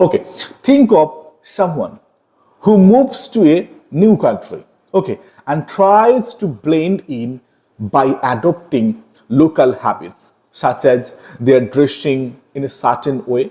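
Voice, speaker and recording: A man's fairly high, dark, mellow voice in an Indian accent, fairly slow and with very wide pitch swings. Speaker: online literature teacher. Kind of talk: lecture. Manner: explanatory, frequent fillers like okay and got it.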